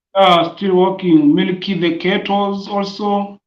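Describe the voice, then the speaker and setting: With a Tanzanian accent, a man with a high pitch speaks at a very slow pace in a monotone, flat intonation. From Tanzania, Tanga region. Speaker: primary school teacher. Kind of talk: interview answer.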